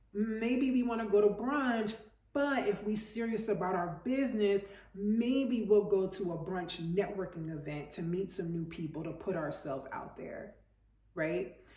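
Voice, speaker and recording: A woman with a medium pitch speaks in an animated tone at a fairly slow pace, her intonation lively and her loudness swinging widely, amid noticeable background noise and audible room echo. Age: 40s. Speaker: lifestyle coach / vlogger. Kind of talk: motivational talk to camera.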